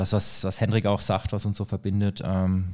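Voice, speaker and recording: A man's very deep, low voice with a dark, mellow tone, at a moderate pace, on a very clean recording with a silent background. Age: 30s. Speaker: energy consultant. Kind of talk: casual chat. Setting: studio.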